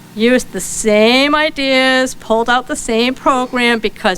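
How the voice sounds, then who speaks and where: Over noticeable background noise, a woman with a Rhode Island accent talks in a high pitch with ordinary pitch variation. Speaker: librarian. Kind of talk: conference keynote talk.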